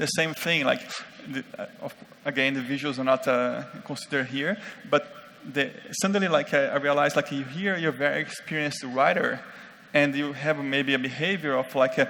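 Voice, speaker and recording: This man has a fairly high pitch and fairly even intonation. He talks at a fairly quick pace. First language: not English. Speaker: conference speaker on UX design. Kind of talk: conference talk. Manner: halting, many fillers.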